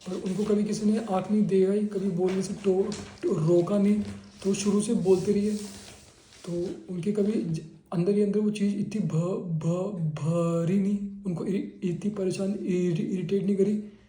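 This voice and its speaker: Audible room echo surrounds a man's high-pitched voice. He speaks at a fairly slow pace in a monotone, flat intonation. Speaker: patient. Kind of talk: clinical case-taking interview. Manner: halting, repeated syllables.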